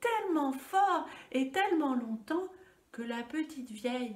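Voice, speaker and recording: This woman's voice is high in pitch. It rises and falls across a very wide range. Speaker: storyteller. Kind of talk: children's story telling. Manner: gentle, soft.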